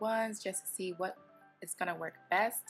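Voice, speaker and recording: Over music in the background, a woman with a medium pitch talks at a moderate pace with fairly even intonation. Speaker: hair care vlogger. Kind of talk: casual talk to camera.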